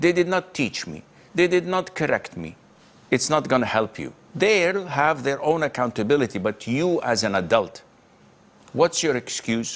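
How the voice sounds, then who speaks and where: A man with a fairly high pitch speaks in a stern tone at a moderate pace, with vocal fry. His pitch swings very widely. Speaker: Islamic scholar answering questions. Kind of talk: Islamic lecture Q&A answer, live broadcast. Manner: firm, stern, rebuking.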